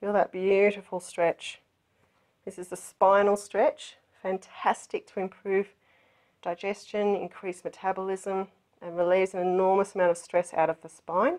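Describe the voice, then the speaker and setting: A woman speaks at a moderate pace in a monotone, flat way, with big swings in loudness. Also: medium pitch for a woman. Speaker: yoga teacher. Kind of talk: guided yoga instruction.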